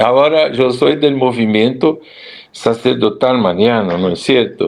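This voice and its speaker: Lively intonation at a fairly slow pace, against noticeable background noise. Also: man. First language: Portuguese (speaking Spanish). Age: 70s. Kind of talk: interview.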